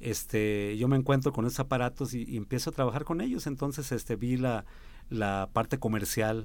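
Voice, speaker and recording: Pitched at a medium level, this man's normal speaking voice carries fairly even intonation. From Mexico, San Luis Potosí. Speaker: musician. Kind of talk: radio interview.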